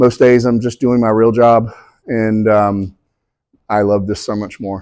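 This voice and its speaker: Speaking at a fairly slow pace, a man with a slight Southern accent holds a medium pitch in a monotone, flat intonation. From US South, southeast Georgia. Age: 50s. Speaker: author and guest speaker. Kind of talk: talk to an audience.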